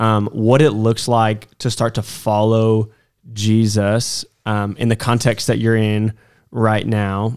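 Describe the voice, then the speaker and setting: A man speaks at a medium pitch and a very slow pace. The recording is very clean, with a silent background. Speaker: college ministry podcast host. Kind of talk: casual chat and Bible discussion. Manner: jokey, laughs often.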